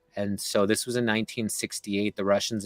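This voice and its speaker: A man with a Canadian accent speaks at a medium pitch and a fairly quick pace. The sound is dry and close, with no echo. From Canada. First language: Czech/Slovak. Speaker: guest, former political candidate. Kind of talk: interview conversation.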